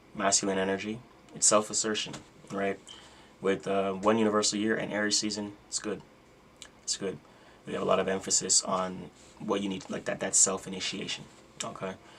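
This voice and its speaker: A man speaks at a fairly quick pace in a fairly low, monotone, flat voice. He leaves long, frequent pauses over noticeable background noise. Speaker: astrology content creator. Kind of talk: casual livestream talk about astrology. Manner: fast; casual, filler-heavy.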